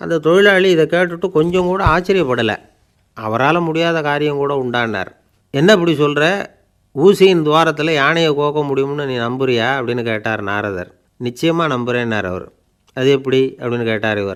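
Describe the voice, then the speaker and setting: A man's fairly high voice carries lively intonation. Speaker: radio speaker and storyteller. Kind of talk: radio storytelling anecdote with a moral, short daily talk. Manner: simple, conversational, gently humorous.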